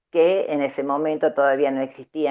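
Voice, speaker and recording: A woman with an Argentine accent at a fairly slow pace. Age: 70s. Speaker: human rights activist. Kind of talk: interview. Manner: halting, many fillers.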